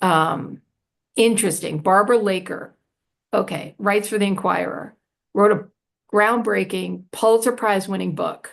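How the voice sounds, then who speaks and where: Using vocal fry at a medium pitch, a woman speaks at a moderate pace with ordinary pitch variation and long, frequent pauses. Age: 60s. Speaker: prison radio organization director. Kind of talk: panel discussion Q&A. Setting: live Zoom webinar. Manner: animated.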